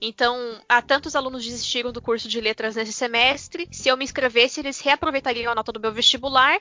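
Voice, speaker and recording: A woman's high voice at a very fast pace, hardly any pauses, and fairly even intonation. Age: 30s. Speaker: teacher. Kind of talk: casual chat.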